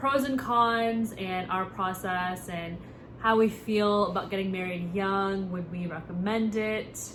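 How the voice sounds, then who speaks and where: A woman with an American accent and a plain, everyday voice, medium pitch, ordinary pitch variation and a fairly slow pace. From United States. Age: 20s. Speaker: content creator. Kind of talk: casual talk to camera.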